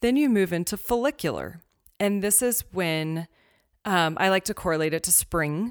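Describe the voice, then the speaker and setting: A woman with an ordinary speaking voice talks at a moderate pace and medium pitch, with lively intonation and very even loudness, in a dry, close recording that is very clean, with no echo and a silent background. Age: 30s. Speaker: women's wellbeing educator. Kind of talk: casual interview chat.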